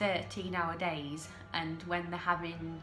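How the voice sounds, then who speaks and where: A woman speaks with monotone, flat intonation. Music plays in the background. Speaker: TV episode recap host. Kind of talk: casual talk to camera.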